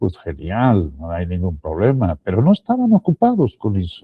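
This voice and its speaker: A man talks at a fairly slow pace, somewhat breathy. His pitch makes very wide swings. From Spain, Extremadura. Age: 60s. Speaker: Bible teacher. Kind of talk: Bible teaching talk. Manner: halting, with repetitions.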